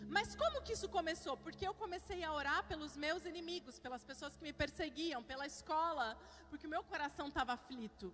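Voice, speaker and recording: A woman speaks at a high pitch and a fairly quick pace. Her intonation is lively, with hardly any pauses. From Curitiba, southern Brazil. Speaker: pastor. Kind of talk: sermon.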